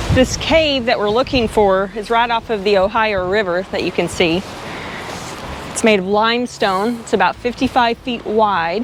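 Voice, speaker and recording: Here a woman with a Southern US accent speaks at a moderate pace and a fairly high pitch. Her pitch varies in an ordinary way, with noticeable background noise around her. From Arkansas. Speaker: travel vlogger. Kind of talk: casual chat. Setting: outdoors.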